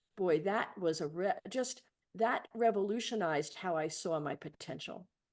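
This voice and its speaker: In an American accent, a woman with medium pitch talks at a moderate pace with lively intonation and a plain, everyday voice. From New York City (Bronx). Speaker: leadership coach and trainer. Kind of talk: podcast interview.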